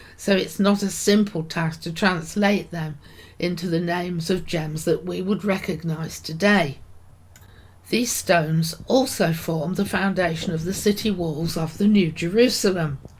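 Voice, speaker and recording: Somewhat breathy, a woman in a British accent, fairly low in pitch, at a fairly slow pace with fairly even intonation. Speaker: podcaster, Bible teacher. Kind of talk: devotional talk.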